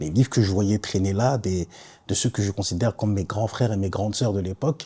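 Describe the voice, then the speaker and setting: A man speaks at a fairly quick pace and fairly low pitch, his dark, mellow tone somewhat breathy with ordinary pitch variation. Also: very clean recording, silent background. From Ivory Coast, then Paris suburbs (Saint-Denis, Nogent). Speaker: podcaster. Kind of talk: personal testimony podcast. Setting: self-filmed podcast. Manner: casual.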